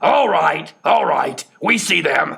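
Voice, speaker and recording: A man performs a put-on character voice. It is raspy and extremely high in pitch. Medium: read story. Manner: gruff, irritable.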